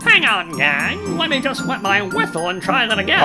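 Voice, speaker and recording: Over loud background music, a man with a high pitch uses a raised, projected voice at a moderate pace. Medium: fan dub. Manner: nostalgic, jolly.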